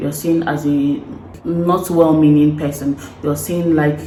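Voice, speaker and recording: A woman speaks with a Nigerian accent and a very deep, low pitch. Music plays in the background. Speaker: vlogger. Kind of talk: casual talk to camera.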